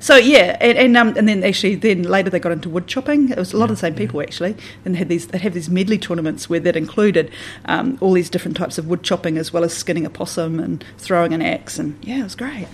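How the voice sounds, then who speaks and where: Speaking at a very fast pace, a woman with a Southland accent uses a medium pitch and lively intonation. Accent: New Zealand, Southland. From New Zealand, Southland and the Catlins. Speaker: church minister. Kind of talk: radio interview.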